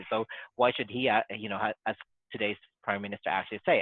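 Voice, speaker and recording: At a very fast pace, a man talks in a fairly low voice. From Australia. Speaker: podcast guest. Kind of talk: casual political discussion. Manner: halting, many repetitions and restarts.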